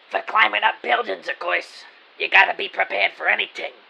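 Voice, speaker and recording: The speaker uses a put-on character voice at a fairly quick pace. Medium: audio drama. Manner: brusque, dismissive.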